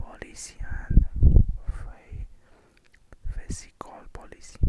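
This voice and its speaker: Whispering comes at a very slow pace over noticeable background noise. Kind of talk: whispered reading of an economics or bookkeeping textbook. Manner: halting, hesitant reading with repeated words.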